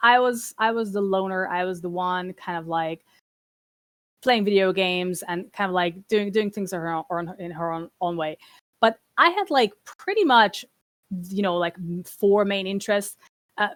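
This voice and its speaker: A woman with a Hungarian accent at a medium pitch, fairly even intonation and a moderate pace, in a dry, close sound with no echo. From Hungary (small town). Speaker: trade commissioner for games and esports. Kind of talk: presentation talk on a stream. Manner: halting, many fillers and repetitions.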